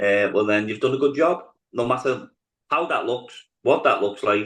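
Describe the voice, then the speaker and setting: A man speaks with a Liverpool accent at a moderate pace. His pitch is medium, with ordinary variation. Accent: Scouse. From Liverpool, England. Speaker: politician. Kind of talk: interview. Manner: hesitant, many fillers.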